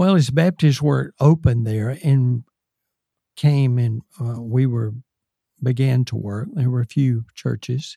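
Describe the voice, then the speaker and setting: A man speaks very slowly in a Southern US accent, his tone dark and mellow and somewhat breathy. Pitch moves in an ordinary way, and the sound is dry and close with no echo. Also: medium pitch for a man. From US South, South Carolina. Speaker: retired missionary. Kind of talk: interview testimony.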